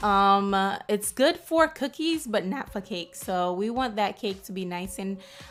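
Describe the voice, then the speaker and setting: An unremarkable speaking voice from a woman, medium in pitch, fairly slow, with lively intonation and hardly any pauses. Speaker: home baker demonstrating a product. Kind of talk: cooking tutorial.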